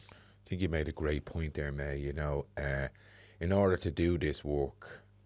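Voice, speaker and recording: The recording is very clean, with a silent background. A man with a very deep, low pitch and vocal fry speaks at a moderate pace. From Dublin inner city (the Liberties). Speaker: podcast host. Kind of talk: casual interview chat. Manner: animated, laughing.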